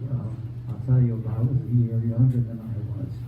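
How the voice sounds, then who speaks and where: With an American accent, a man speaks in a dark, mellow tone at medium pitch, somewhat breathy and in a flat monotone. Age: 90s. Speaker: retirement community resident telling his life story. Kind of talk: personal storytelling to a live audience. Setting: room with live audience. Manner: halting, with many fillers.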